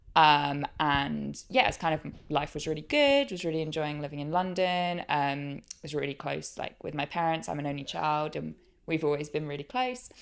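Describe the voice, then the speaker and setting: A woman speaks in a very deep, low pitch. The recording is very clean, with a silent background. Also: ordinary pitch variation, moderate pace. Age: 20s. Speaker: podcast guest sharing grief story. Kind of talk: interview testimony. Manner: hesitant, many fillers.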